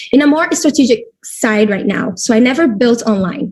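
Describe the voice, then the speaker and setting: In a Brazilian Portuguese accent, a woman speaks in a somewhat breathy voice. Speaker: network marketing leader. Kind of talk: webinar presentation.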